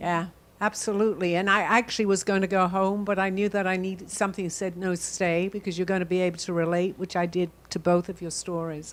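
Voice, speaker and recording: A woman speaks very fast in an American accent. Her medium-pitched voice has monotone, flat intonation. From London, England. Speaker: guest speaker. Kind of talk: talk show conversation. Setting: studio.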